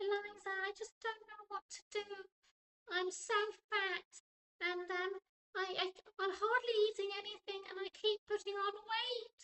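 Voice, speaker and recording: A put-on character voice, squeaky and female-sounding, at an extremely high pitch for a woman, with monotone, flat intonation, a moderate pace and long, frequent pauses. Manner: distressed, worried.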